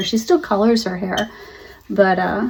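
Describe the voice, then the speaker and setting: A somewhat breathy, fairly high woman's voice with ordinary pitch variation. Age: 60s. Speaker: lifestyle vlogger. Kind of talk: casual talk to camera.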